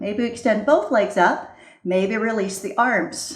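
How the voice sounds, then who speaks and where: A woman talks fairly slowly while noticeable noise fills the background. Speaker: yoga teacher. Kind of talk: guided yoga class instruction. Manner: calm, instructive.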